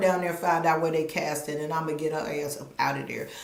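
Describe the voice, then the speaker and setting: An animated woman at a fairly quick pace, with noticeable background noise. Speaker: commentary YouTuber. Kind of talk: live stream commentary. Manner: fast.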